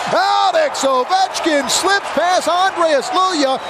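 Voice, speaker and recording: Crowd noise fills the background as a man speaks. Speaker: radio play-by-play hockey announcer. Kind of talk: live sports play-by-play call.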